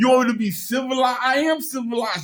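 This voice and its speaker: A man speaks loudly. His pitch is extremely high. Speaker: mental health patient filming a confrontation. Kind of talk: heated argument. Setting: mental health clinic office. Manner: agitated, fast.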